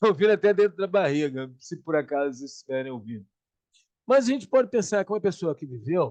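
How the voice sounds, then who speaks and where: A man talks at a fairly quick pace in a high pitch with very wide pitch swings. The sound is dry and close, with no echo. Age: 70s. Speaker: conversation circle co-host, self-knowledge speaker. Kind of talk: casual reflective talk.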